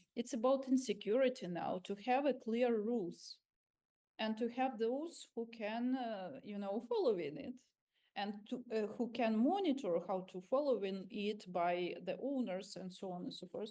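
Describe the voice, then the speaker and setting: A woman with a Ukrainian accent speaks at a fairly high pitch and a moderate pace. Her tone is dark and mellow, with ordinary pitch variation. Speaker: civil society activist. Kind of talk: panel discussion. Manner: halting.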